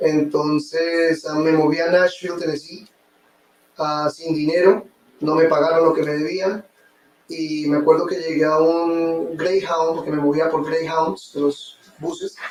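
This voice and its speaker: A man with a Colombian accent speaks at a fairly slow pace in a fairly high pitch, his intonation flat and monotone. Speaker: real estate investor. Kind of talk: interview testimony.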